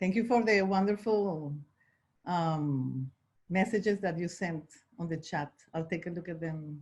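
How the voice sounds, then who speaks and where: A woman's somewhat breathy, fairly low voice in a Spanish accent at a very slow pace, with ordinary pitch variation. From Venezuela, Caracas. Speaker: life insurance agent. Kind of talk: online panel discussion.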